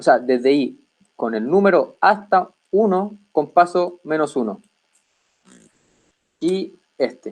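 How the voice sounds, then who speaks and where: A man speaks with ordinary pitch variation. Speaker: teaching assistant. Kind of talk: lecture.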